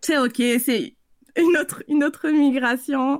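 A woman talks at a fairly slow pace. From French Guiana. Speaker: consultant and coach. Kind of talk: interview.

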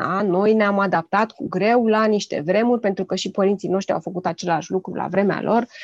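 A woman at medium pitch has an ordinary speaking voice, recorded with a dry, close sound and no echo. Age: 40s. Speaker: parenting blogger and children's author. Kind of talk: casual chat.

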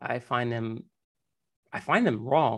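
Against a quiet background, a man with an unremarkable speaking voice talks at a medium pitch with ordinary pitch variation. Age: 40s. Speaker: podcast host. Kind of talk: interview.

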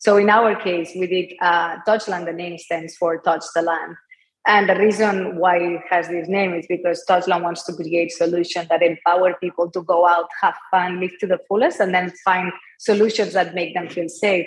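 In a Spanish accent, a woman with a fairly low pitch speaks at a moderate pace in a monotone, flat intonation. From Spain, Barcelona. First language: Spanish or Catalan. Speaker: entrepreneur, company founder. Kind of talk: interview.

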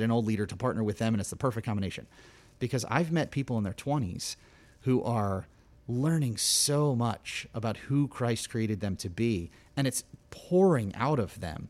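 A man's unremarkable speaking voice at medium pitch, fairly quick, with ordinary pitch variation, on a very clean recording with a silent background. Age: 40s. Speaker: youth ministry leader. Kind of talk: casual interview chat.

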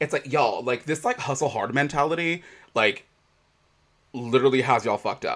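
This man talks at a fairly quick pace with a fairly high pitch and ordinary pitch variation, broken by long, frequent pauses. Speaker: podcast host. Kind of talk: casual chat. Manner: chatty, laughs often.

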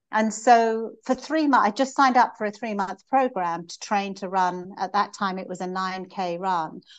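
Over a quiet background, a woman in a normal speaking voice talks at a moderate pace with hardly any pauses, medium pitch, ordinary pitch variation and big swings in loudness. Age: 60s. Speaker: business executive and marathon runner. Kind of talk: interview.

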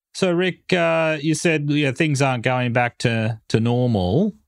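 In a dry, close sound with no echo and a quiet background, a man speaks fairly slowly at a medium pitch. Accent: Australian. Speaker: podcast host.

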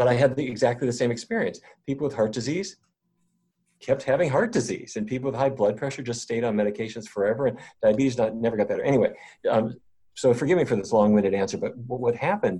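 A man talks at a very fast pace in a dark, mellow tone that is somewhat breathy. His pitch sits in the middle range and varies in an ordinary way. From North Dakota. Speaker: physician and researcher. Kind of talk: interview.

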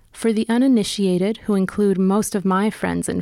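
A woman speaks in a dark, mellow tone at a medium pitch, with an American accent. Her pace is fairly quick and her intonation fairly even. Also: very clean recording, silent background. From California. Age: 40s. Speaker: podcast host and reporter. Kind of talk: scripted narration.

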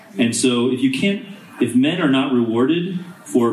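Noticeable background noise surrounds a man speaking with an American accent. His voice sits at a medium pitch with lively intonation. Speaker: diplomat. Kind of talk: panel discussion. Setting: stage with audience.

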